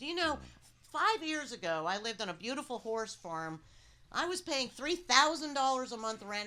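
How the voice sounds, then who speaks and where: A woman with an American accent speaks in a bright, sharp, animated tone. Her pitch swings very widely. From New Jersey. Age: 60s. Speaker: cannabis activist. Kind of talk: casual panel discussion.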